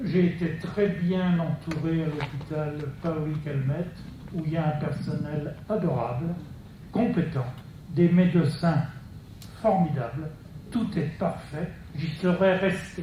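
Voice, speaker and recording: Speaking very slowly with long, frequent pauses, a man uses a fairly high pitch and ordinary pitch variation, with audible room echo around him. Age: 70s. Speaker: patient in audience. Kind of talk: audience testimony.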